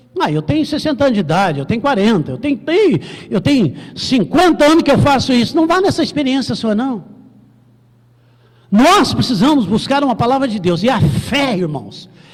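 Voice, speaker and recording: A man speaks at an extremely high pitch with very wide pitch swings. Noticeable background noise runs underneath. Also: moderate pace. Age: 60s. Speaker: pastor. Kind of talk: sermon.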